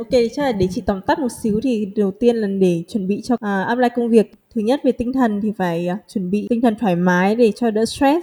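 A woman talks at a fairly quick pace with hardly any pauses, her fairly high, somewhat breathy voice dark and mellow in tone, ordinary in pitch variation, and recorded with a dry, close sound with no echo. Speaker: podcast host. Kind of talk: show intro and outro; interview about job hunting abroad.

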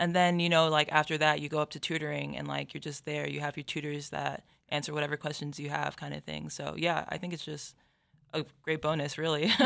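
This very clean recording with a silent background has a woman talking at a fairly quick pace. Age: 20s. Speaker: college volleyball player. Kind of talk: casual interview.

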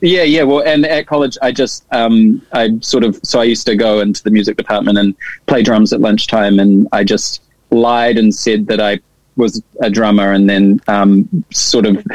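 Speaking at a moderate pace with a New Zealand accent, a man uses a medium pitch, ordinary pitch variation and very even loudness, in a dry, close sound with no echo. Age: 30s. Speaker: drummer and producer. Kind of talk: casual chat. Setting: video call.

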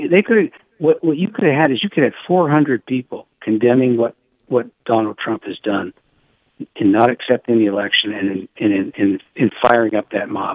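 A normal speaking voice, moderately paced and marked by lively intonation. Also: man, medium pitch for a man. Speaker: political journalist. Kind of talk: phone interview, political commentary. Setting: phone interview.

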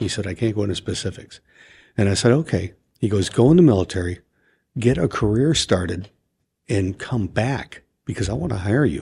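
A man with an American accent and a dark, mellow, somewhat breathy tone speaks at a fairly low pitch and a fairly quick pace, with lively intonation and long, frequent pauses. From US Midwest (Chicago). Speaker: retired homicide detective and podcaster. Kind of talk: interview. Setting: studio.

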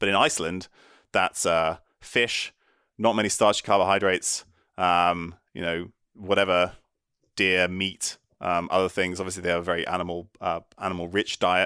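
A man with a British accent speaks at a very deep, low pitch in a bright, sharp tone, with monotone, flat intonation and long, frequent pauses. The recording is very clean, with a silent background. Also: moderate pace. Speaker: neuroscientist and physician. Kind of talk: interview on brain health.

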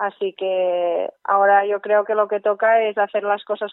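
A woman speaks at a fairly slow pace in a medium pitch. Her intonation is monotone and flat. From Spain, Catalonia (Girona). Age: 20s. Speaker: ultrarunner and architecture student. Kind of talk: interview.

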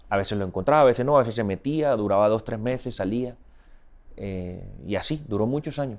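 Fairly quick male speech of medium pitch, ordinary in its pitch variation. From Colombian Caribbean coast, Barranquilla. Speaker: singer, musician. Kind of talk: interview. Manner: halting, repeats words.

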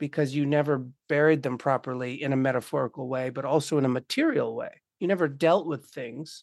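Against a quiet background, a man talks fairly quickly in a fairly high voice. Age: 40s. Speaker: animist artist and death practice facilitator. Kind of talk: casual chat. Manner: animated.

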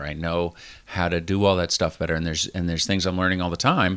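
A man speaks with a very deep, low pitch. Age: 40s. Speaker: running podcast co-host. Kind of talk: casual chat.

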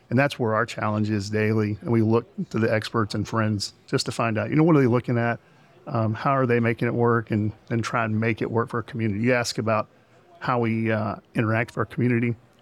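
Talking very fast, a man keeps a medium pitch and fairly even intonation. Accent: Texan. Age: 50s. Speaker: hospital CEO. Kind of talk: interview. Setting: conference.

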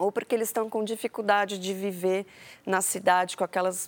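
A soft-spoken woman talks with fairly even intonation. The sound is dry and close with no echo, and the recording is very clean over a silent background. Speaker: agricultural researcher. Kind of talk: interview. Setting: studio. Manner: calm, soft.

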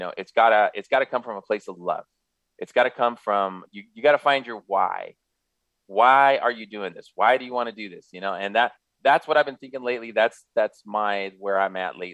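Someone with an American accent speaks at a fairly quick pace with ordinary pitch variation. The loudness swings widely. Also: man, medium pitch for a man. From Southern California, San Gabriel Valley. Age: 50s. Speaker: radio host, real estate investor. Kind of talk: casual radio talk. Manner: halting, many fillers.

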